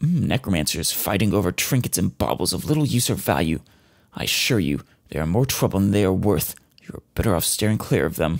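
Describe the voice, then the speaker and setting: A man puts on a gruff character voice, fairly low in pitch with very wide pitch swings, at a fairly quick pace. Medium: game stream. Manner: gruff, impatient.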